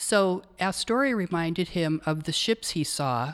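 On a very clean recording with a silent background, a woman with an American accent speaks in a plain, everyday voice at a fairly low pitch. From US Northwest, Portland, Oregon. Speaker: retired burn and trauma nurse. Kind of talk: interview.

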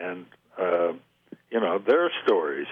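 Speaking at a fairly slow pace, a man talks with an American accent. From eastern Oregon. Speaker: mental health association president. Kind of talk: radio interview. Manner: halting.

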